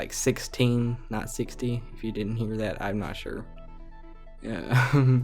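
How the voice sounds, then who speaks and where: With music in the background, a man speaks very slowly in a monotone, flat intonation. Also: medium pitch for a man. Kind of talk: casual gaming commentary. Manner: casual, hesitant.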